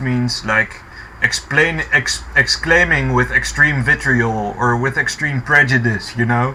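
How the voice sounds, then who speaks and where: A man talks with a non-native accent. There is noticeable background noise. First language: not English. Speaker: commentary youtuber. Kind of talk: reaction commentary. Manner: halting, many fillers.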